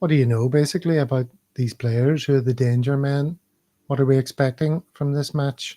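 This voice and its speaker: A man's fairly quick, fairly high-pitched delivery with a dark, mellow tone and fairly even intonation, dry and close with no echo. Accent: Northern Irish. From Belfast, Northern Ireland. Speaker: football podcast host. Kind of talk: casual chat.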